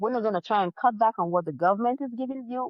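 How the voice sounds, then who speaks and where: A woman speaks with a non-native accent. Her pitch swings very widely. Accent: foreign accent, others struggle to understand. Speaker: life insurance consultant. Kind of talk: interview.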